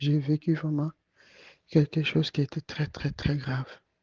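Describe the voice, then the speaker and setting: This man talks softly in a fairly high, somewhat breathy voice with a dark, mellow tone, and the sound is dry and close with no echo. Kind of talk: testimony. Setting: at home, night audio recording. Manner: soft-spoken; halting.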